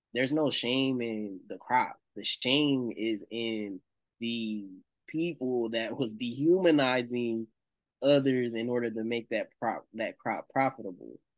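This man has an American accent and a medium pitch with ordinary pitch variation. He talks at a fairly slow pace. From North Carolina, Shelby (US South). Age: 20s. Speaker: musician. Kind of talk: casual chat.

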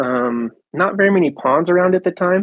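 A man with an American accent and an ordinary speaking voice talks at a moderate pace with ordinary pitch variation. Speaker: angler. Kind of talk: casual chat.

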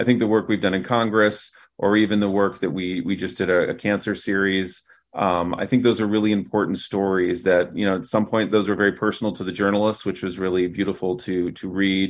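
In an American accent, a man with an ordinary speaking voice talks at a fairly quick pace with a fairly low pitch and fairly even intonation. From US Midwest, Fort Wayne, Indiana. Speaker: news media executive. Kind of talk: interview.

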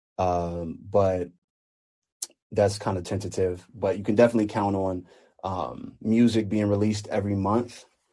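Against a quiet background, a man with a normal speaking voice and an American accent talks at a moderate pace, his fairly low pitch carrying fairly even intonation. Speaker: recording artist. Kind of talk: casual interview. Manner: casual, relaxed.

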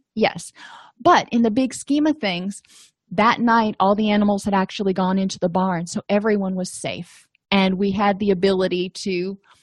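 Somewhat breathy and medium in pitch, a woman speaks at a moderate pace with ordinary pitch variation, a quiet background, and a dry, close sound with no echo. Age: 40s. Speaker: therapist and podcast host. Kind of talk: educational podcast lecture.

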